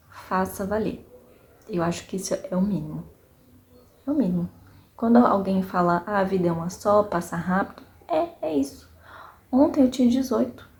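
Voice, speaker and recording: Speaking at a moderate pace and medium pitch, a woman uses lively intonation with vocal fry and long, frequent pauses. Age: 30s. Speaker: vlogger, small business owner. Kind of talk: personal reflection monologue. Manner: casual, conversational with fillers.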